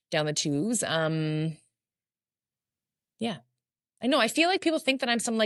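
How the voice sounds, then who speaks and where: A woman's loud, fairly high voice, with very wide pitch swings, a moderate pace, long, frequent pauses and a quiet background. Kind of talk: casual chat.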